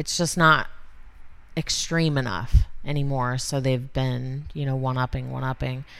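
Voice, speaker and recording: A woman talks with a very deep, low pitch and fairly even intonation. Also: moderate pace. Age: 30s. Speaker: tattoo artist and shop owner. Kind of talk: casual interview. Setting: tattoo studio front lounge.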